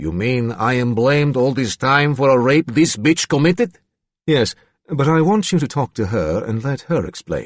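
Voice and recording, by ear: Pitch variation here is ordinary. The speaker is reading aloud in a natural voice, with a quiet background.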